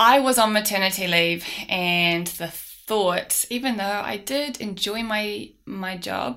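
A woman with an Auckland accent has a bright, sharp tone and ordinary pitch variation, captured on a very clean recording with a silent background. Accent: New Zealand (Auckland). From New Zealand, South Auckland. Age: 30s. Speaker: business owner. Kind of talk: casual interview.

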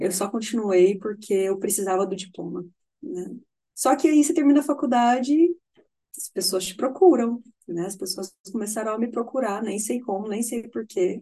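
The voice is somewhat breathy with a dark, mellow tone and lively intonation. Its loudness swings widely. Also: woman, fairly high pitch for a woman, moderate pace. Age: 30s. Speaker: nutritionist. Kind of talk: casual interview chat.

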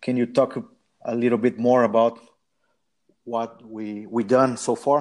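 With a Portuguese accent and medium pitch, a man speaks at a fairly slow pace in a monotone, flat intonation, with long, frequent pauses. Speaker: football podcast host. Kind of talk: casual chat. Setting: remote call.

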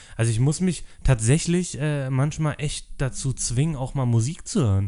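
With a dark, mellow tone, a man speaks at a moderate pace and with ordinary pitch variation. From Berlin (Treptow-Köpenick). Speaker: podcast co-host. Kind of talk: casual chat.

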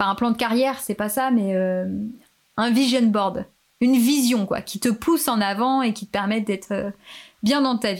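A woman at a fairly slow pace, fairly high pitch, ordinary pitch variation and long, frequent pauses. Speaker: podcaster. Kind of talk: casual chat. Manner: animated.

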